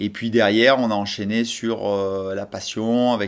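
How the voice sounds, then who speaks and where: Speaking at a fairly slow pace, the man has a fairly low pitch and monotone, flat intonation. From French Alps (Hautes-Alpes). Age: 40s. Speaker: snowboard coach. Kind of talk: interview testimony. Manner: hesitant, many fillers.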